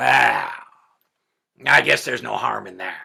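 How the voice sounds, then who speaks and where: A man does a raspy, put-on character voice at a fairly slow pace. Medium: solo performance. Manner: curt, demanding.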